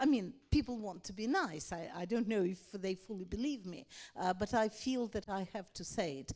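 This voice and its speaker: The speaker has a Russian accent and a dark, mellow tone, talking at a moderate pace. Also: woman. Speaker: author. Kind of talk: panel discussion.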